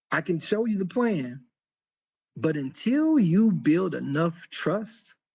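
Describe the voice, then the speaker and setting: Music plays in the background as a man with a high pitch and lively intonation speaks at a very slow pace. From US South, Thomasville, North Carolina. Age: 50s. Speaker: podcast host. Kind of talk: casual monologue. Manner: animated.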